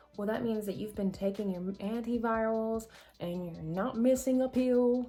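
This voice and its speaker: A woman's fairly high voice carries fairly even intonation while music plays behind her. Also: moderate pace. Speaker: vlogger sharing her HIV experience. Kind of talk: casual Q&A vlog. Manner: halting, stumbling over words.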